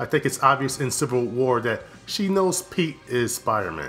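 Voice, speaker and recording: Medium-pitched speech from a man at a moderate pace, music playing behind him. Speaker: film reviewer. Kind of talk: casual review talk to camera.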